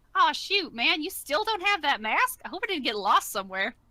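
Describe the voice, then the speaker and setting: A woman puts on a character voice pitched high, with very wide pitch swings. Her pace is fairly quick. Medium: actual play. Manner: casual, folksy.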